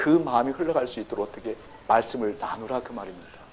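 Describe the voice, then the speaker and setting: A man talks at a fairly quick pace in an animated tone. His intonation is lively. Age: 60s. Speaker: pastor. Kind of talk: sermon. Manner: animated, engaging audience with questions.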